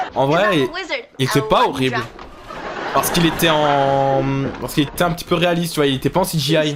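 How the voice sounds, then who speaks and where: Over noticeable background noise, a man with a fairly high voice and ordinary pitch variation talks at a fairly quick pace, broken by long, frequent pauses. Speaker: YouTube reaction host. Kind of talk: casual reaction commentary. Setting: wearing headphones while watching. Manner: loud; casual.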